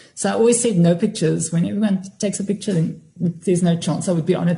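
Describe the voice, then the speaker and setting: A woman talks at a very fast pace. Her pitch variation is ordinary. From Cape Town, South Africa. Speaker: singer and stage actress. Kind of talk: casual chat.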